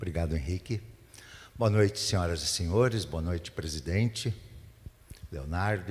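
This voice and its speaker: A man's somewhat breathy, very deep voice with ordinary pitch variation. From Rio Grande do Sul interior, Brazil. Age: 70s. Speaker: mayoral candidate. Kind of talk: candidate debate answer. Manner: halting, with many restarts.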